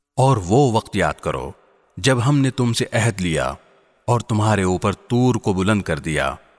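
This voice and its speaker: A man's fairly low voice with vocal fry and very wide pitch swings, on a very clean recording against a silent background. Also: dry, close sound with no echo. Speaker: Quran translation voice-over reader. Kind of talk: scripture translation reading.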